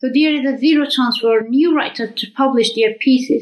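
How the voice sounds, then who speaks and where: A woman with an Afghan accent and a high pitch talks at a fairly quick pace, with ordinary pitch variation. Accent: Afghan (Dari-speaking) English. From Afghanistan, Kabul. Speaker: writer. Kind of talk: recorded video message.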